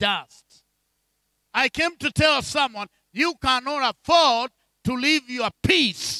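A man speaks at an extremely high pitch in a raised, projected voice with a bright, sharp tone. His pace is fairly slow, his pitch variation ordinary, and the background quiet. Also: dry sound with no echo. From Kenya. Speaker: bishop and preacher; bishop, preacher. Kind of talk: sermon. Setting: church with congregation. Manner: animated. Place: church. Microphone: handheld.

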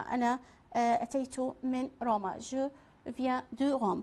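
Speaking with an Iraqi accent, a woman has a high pitch and a dark, mellow tone. She talks at a fairly slow pace. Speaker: French teacher; French language teacher. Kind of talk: lecture. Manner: halting. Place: studio.

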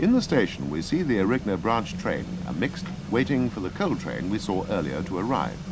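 Lively intonation over noticeable background noise. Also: man. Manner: formal, measured, matter-of-fact; clipped, dry, informative newsreel-style delivery.

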